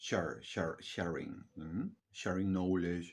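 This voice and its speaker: A man's very deep, low pitch in a monotone, flat intonation at a fairly slow pace, against a quiet background. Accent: non-native. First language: not English. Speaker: vlogger. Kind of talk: casual monologue. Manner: halting.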